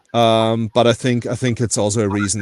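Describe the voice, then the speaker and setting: A man's fairly low, flat monotone in a German accent at a very fast pace, dry and close with no echo over a quiet background. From Austria. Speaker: precious metals collector. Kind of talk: casual chat.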